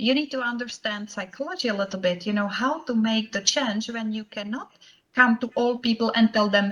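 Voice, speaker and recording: A woman speaks with a Czech accent. Her pitch is fairly high, with ordinary variation. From Czech Republic. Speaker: professional association chapter president, banker. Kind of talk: conference presentation. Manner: frequent hesitations (uh, um).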